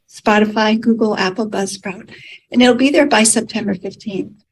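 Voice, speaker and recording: Somewhat breathy and fairly high-pitched, a woman with an American accent speaks at a moderate pace with ordinary pitch variation. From United States. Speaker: podcast host. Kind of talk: interview questions, webinar hosting.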